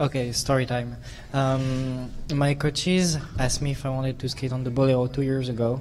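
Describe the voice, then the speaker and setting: A man's medium-pitched voice at a fairly quick pace, with noticeable background noise and audible room echo. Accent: French. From France. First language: French. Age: 20s. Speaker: figure skater. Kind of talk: press conference answer. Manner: animated.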